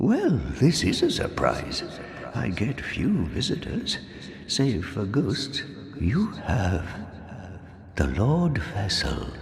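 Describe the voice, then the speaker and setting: A man in a put-on character voice, medium in pitch, at a very slow pace with long, frequent pauses, over clear background noise with a slight echo. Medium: video game. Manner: dry, knowing.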